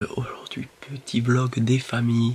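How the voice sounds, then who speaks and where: A man whispers at a fairly slow pace while noticeable background noise carries on. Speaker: vlogger. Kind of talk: vlog. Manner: whispering.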